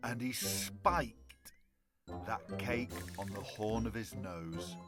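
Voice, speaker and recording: With music playing in the background, a speaker with a British accent talks at a very slow pace. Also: man. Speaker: storyteller. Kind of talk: children's bedtime story reading.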